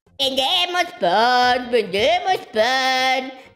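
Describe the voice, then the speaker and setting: In a loud, high-pitched, put-on character voice, the speaker goes at a very slow pace while faint music plays in the background. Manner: calling out, hawking goods.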